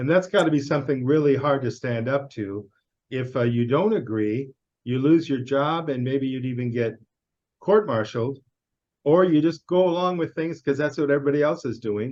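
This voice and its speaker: In a Chicago accent, a man speaks at a moderate pace. His pitch is fairly high, with ordinary variation. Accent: American (Chicago). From US Midwest, Chicago. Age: 60s. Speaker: interviewer. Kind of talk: casual interview.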